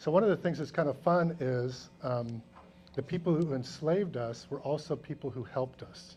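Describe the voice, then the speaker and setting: A man's fairly high, somewhat breathy voice in a dark, mellow tone, with an American accent. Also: ordinary pitch variation, moderate pace. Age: 60s. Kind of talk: educational talk to students. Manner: conversational, frequent 'right?' tags.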